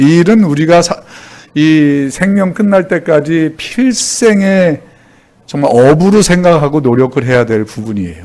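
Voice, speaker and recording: With an ordinary speaking voice, a man talks at a fairly slow pace in a fairly high pitch with lively intonation. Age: 60s. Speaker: pastor. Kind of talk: sermon. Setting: church.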